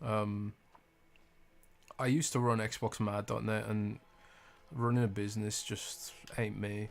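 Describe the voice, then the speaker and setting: Soft-spoken, a man with a British accent talks at a fairly slow pace and a fairly low pitch, with fairly even intonation and long, frequent pauses. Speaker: gaming streamer. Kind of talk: casual live stream chat. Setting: home live stream at night.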